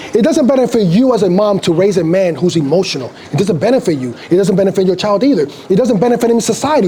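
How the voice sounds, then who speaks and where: A man's high-pitched, animated voice at a very fast pace, with lively intonation and noticeable background noise. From Dominican Republic. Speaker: street preacher. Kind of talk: heated debate.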